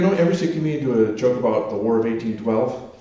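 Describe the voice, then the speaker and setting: There is noticeable background noise and audible room echo. A man speaks at a fairly quick pace with lively intonation. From New England. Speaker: stand-up comedian. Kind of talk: stand-up. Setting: stage with audience.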